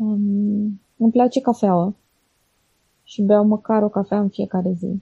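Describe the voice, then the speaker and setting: In a dry, close recording with no echo, a woman speaks at a medium pitch in a dark, mellow, somewhat breathy tone with monotone, flat intonation. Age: 30s. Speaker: blogger. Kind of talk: interview. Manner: halting.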